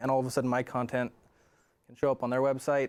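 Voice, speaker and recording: A man with a medium pitch talks at a very fast pace on a very clean recording with a silent background. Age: 30s. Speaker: podcaster and blogger. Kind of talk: interview. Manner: halting; explanatory.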